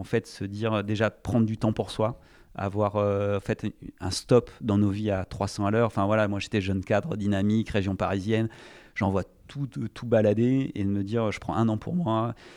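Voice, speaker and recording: The recording is very clean, with a silent background. A man speaks slowly-ish at a fairly low pitch, his intonation fairly even and his pace fairly slow. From France, Charente (Cognac). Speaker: entrepreneur. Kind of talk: interview. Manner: hesitant, many fillers.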